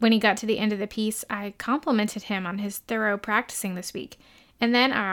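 The speaker uses plain reading aloud. Intonation stays fairly even throughout.

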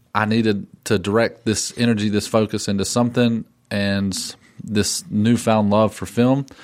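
A man with a Southern US accent speaks in a fairly low pitch with a flat, monotone delivery. The recording is very clean, with a silent background. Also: moderate pace. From western North Carolina. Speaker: filmmaker. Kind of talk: casual interview.

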